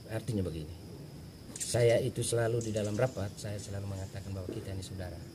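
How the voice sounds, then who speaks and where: Speaking at a very fast pace with fairly even intonation, a man with a fairly low voice is heard with audible room echo. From Flores (Manggarai), raised in Timor, Indonesia. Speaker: acting village head. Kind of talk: interview. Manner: halting, many fillers.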